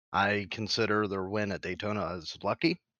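A man's fairly low voice with fairly even intonation, an unremarkable speaking voice. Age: 30s. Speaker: racing podcast co-host. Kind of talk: casual chat.

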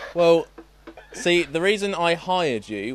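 Noticeable background noise runs under a man speaking with lively intonation. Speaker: podcast host. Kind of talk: casual chat.

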